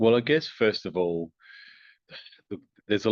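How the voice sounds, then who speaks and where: This man has an Australian accent and ordinary pitch variation. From Australia (Adelaide). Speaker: company founder and engineer. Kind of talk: interview.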